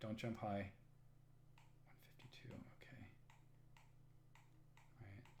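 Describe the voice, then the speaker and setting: At a fairly slow pace with long, frequent pauses, a man speaks in a somewhat breathy voice at medium pitch with fairly even intonation. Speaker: game streamer. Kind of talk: casual live-stream gameplay commentary.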